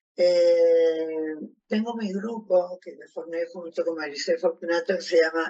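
Her voice sits fairly low for a woman. She speaks at a very slow pace. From Argentina. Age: 60s. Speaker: retired educational psychologist, Parkinson's patient. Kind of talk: testimony.

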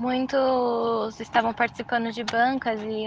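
Over noticeable background noise, a woman delivers her words fairly slowly. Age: 20s. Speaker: architecture student. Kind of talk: recorded testimony. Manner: halting.

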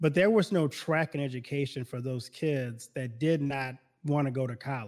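In an American accent, an ordinary speaking voice talks at a moderate pace with ordinary pitch variation. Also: man, fairly high pitch for a man. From US South, Baton Rouge, Louisiana. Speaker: pastor. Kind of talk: casual chat.

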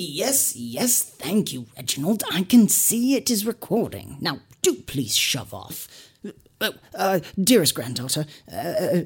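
Moving fairly slowly, the speaker uses a put-on character voice pitched in the middle range. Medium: actual play. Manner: fussy, stammering, formal.

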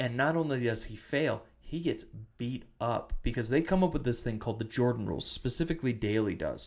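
Here a man speaks with an American accent at medium pitch. He goes at a fairly quick pace with ordinary pitch variation. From western Wisconsin, US Upper Midwest. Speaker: podcast host. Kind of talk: casual chat.

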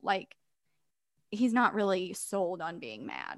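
On a very clean recording with a silent background, a woman with an American accent uses an ordinary speaking voice at a fairly slow pace with lively intonation. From Missouri. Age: 20s. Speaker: podcast co-host. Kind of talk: casual chat.

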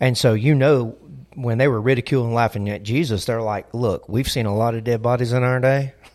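With a Southern US accent, this man talks at a fairly quick pace and keeps his intonation fairly even. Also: medium pitch for a man. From US South. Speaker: pastor. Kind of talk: casual chat.

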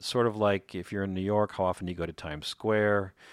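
A man talks at a very fast pace with an American accent. The sound is dry and close with no echo, on a very clean recording with a silent background. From Chicago. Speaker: podcast host and pizza author. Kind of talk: podcast narration.

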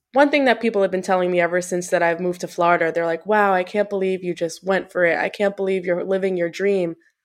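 With an American accent and a medium pitch, a woman talks at a very fast pace with hardly any pauses and fairly even intonation against a quiet background. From New York, Long Island. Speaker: personal trainer. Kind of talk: casual interview.

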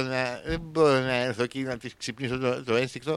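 The speaker is a man talking at a fairly slow pace. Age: 40s. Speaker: radio host. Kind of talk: comedic monologue. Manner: animated.

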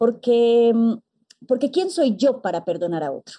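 A woman with a fairly high pitch and a dark, mellow tone speaks with lively intonation in a dry, close recording with no echo. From Colombia. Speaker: psychologist and forgiveness mentor. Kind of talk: interview.

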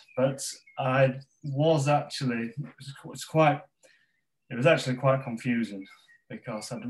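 A somewhat breathy man with a Yorkshire accent at medium pitch, a moderate pace, ordinary pitch variation, big swings in loudness and long, frequent pauses. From northern England, West Yorkshire (Pontefract). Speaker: football organization ambassador. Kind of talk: interview. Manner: halting.

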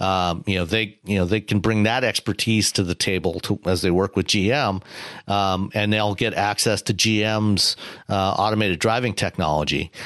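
A man's fairly low voice at a moderate pace, with fairly even intonation and very even loudness, dry and close with no echo, over a quiet background. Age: 50s. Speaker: automotive journalist and podcast co-host. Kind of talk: casual chat. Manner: halting, many fillers.

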